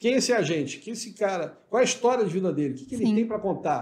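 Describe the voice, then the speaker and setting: A man's lively intonation carries his very fast speech. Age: 50s. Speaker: business executive. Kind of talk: interview.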